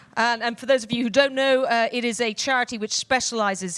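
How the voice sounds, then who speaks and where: A woman speaks with a British accent and ordinary pitch variation. The sound is dry and close, with no echo. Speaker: panel moderator. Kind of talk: panel discussion. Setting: stage with audience.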